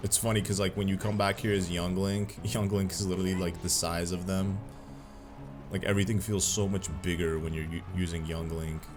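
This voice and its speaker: The talking moves at a fairly quick pace. Music plays in the background. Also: man, very deep, low pitch for a man. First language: Arabic. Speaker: gaming YouTuber. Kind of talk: gameplay commentary. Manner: animated.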